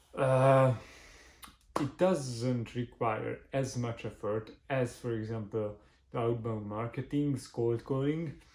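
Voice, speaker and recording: Speaking very slowly with a non-native accent, a man keeps his intonation fairly even. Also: medium pitch for a man. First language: not English. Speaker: marketing agency owner, business vlogger. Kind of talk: tutorial. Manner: halting, many fillers.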